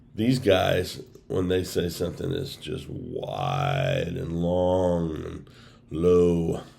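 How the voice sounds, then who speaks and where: A man speaks with a very deep, low pitch and a dark, mellow tone. Room echo can be heard. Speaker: bigfoot researcher and video creator. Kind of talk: casual monologue. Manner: conversational with filler words.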